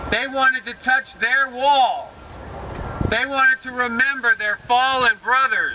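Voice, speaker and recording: A man's extremely high-pitched voice at a fairly slow pace, with noticeable background noise. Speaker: military veteran and political candidate. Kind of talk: political rally speech. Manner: bold, forthright.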